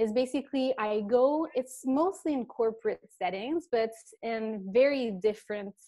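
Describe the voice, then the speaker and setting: A woman's high-pitched voice in a French accent with ordinary pitch variation, at a fairly slow pace against a quiet background. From eastern Canada, French-speaking. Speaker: laughter workshop facilitator. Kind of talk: interview talk. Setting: video call.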